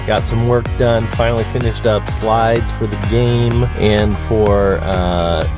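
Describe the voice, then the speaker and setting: Clear music sits in the background as a man talks in a dry sound with no echo. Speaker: youth pastor vlogger. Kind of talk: casual vlog chat. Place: car. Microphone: phone near.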